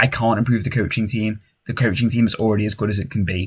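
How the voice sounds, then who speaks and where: Somewhat breathy, a man talks at a very fast pace on a very clean recording with a silent background. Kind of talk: gaming commentary. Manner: frequent sighing.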